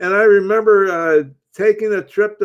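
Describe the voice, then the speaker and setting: A man talks at a moderate pace with an American accent. His pitch is high. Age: 80s+. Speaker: author and military veteran. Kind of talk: political talk show interview.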